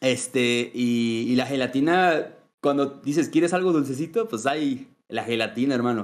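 Speaking with a Mexican accent, a man uses a medium pitch, ordinary pitch variation and a fairly slow pace. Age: 20s. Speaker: gaming content creator. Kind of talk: casual chat. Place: home room. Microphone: video call.

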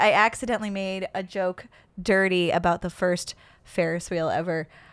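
A woman at a medium pitch with a northern US accent, on a very clean recording with a silent background. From upstate New York. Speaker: comedian and podcast host. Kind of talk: casual interview chat.

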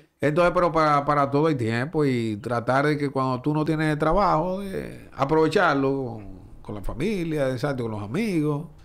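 Over a quiet background, a man with a fairly high pitch talks at a moderate pace with hardly any pauses. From Dominican Republic. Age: 40s. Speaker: sports journalist and baseball broadcaster; sports journalist. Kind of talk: casual chat. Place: studio. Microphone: studio mic.

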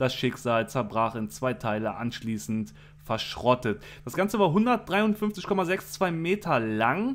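A man speaks at a very slow pace in a medium pitch. His pitch swings very widely. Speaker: YouTuber. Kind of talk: reading aloud; casual monologue. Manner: stuttering at times.

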